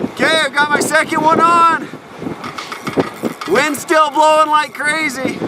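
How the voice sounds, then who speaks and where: Over noticeable background noise, a man with an extremely high pitch projects a raised voice in a flat monotone, moving at a fairly slow pace with long, frequent pauses. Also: very even loudness. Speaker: outdoor video host. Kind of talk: on-location commentary. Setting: outdoors on frozen reservoir. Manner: yelling over wind.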